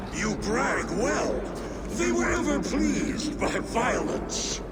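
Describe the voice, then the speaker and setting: A man in a put-on character voice at a very slow pace, with clear echo and loud background noise. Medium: machinima. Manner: grand and hospitable.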